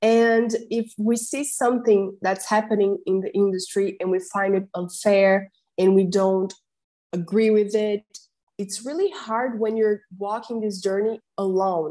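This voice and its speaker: With a Portuguese accent, a woman talks at a fairly slow pace in a dark, mellow tone and fairly even intonation. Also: medium pitch for a woman. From Brazil. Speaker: translator and linguist, fellowship recipient. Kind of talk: casual interview conversation.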